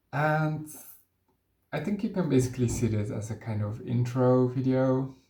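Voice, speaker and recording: The voice is somewhat breathy with a dark, mellow tone and ordinary pitch variation. It moves at a moderate pace with audible room echo. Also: man, medium pitch for a man. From Netherlands. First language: Dutch. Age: 20s. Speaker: vlogger. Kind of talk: personal introduction vlog. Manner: hesitant, with filler sounds.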